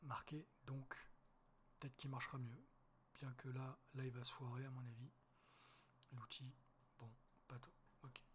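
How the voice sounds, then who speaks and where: A man speaks at a medium pitch in a monotone, flat delivery, fairly slowly and somewhat breathily, with long pauses coming often. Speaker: wildlife photographer. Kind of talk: tutorial. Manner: casual, hesitant.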